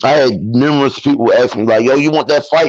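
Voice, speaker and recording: A man with a Baltimore accent talks at a fairly quick pace. His voice sits fairly high, with ordinary pitch variation. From East Baltimore, Maryland, US. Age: 30s. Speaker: amateur boxer. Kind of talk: interview. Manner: casual, animated.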